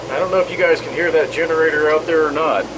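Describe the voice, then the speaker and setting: Noticeable background noise accompanies a man with a fairly high pitch. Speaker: small-engine repair channel owner. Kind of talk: casual product review vlog. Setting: inside a travel trailer. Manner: loud.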